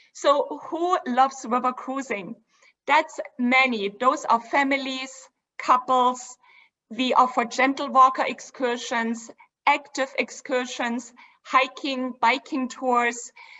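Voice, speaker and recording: A woman's high voice in a German accent, very slow with fairly even intonation. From Germany (Dresden). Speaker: cruise line executive. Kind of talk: presentation. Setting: virtual event.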